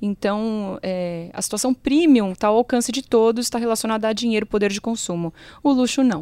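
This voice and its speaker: A woman talks at a fairly quick pace in a fairly high pitch with ordinary pitch variation and an unremarkable speaking voice. The recording is very clean with a silent background and a dry, close sound with no echo. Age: 30s. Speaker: funeral marketing consultant and consumer researcher. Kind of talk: casual interview chat.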